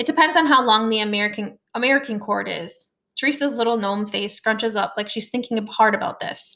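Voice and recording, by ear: With little else audible behind it, a passage is read aloud in a natural voice, its pitch varying in an ordinary way.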